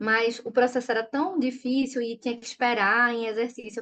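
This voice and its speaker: Speaking at a fairly quick pace in a Recife accent, a woman uses a high pitch with ordinary pitch variation. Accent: Recife (Pernambuco). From Brazil, Recife (Pernambuco). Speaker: children's author and educator. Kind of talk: interview conversation.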